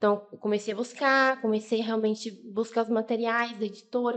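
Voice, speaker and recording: This woman's voice sits fairly high and moves at a moderate pace. Her intonation is flat and monotone. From Bahia, Brazil. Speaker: podcast guest. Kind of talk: testimony.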